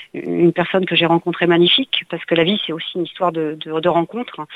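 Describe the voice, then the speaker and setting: A woman speaks at a fairly low pitch with fairly even intonation. Noticeable background noise is audible. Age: 50s. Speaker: painter. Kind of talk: interview. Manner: halting.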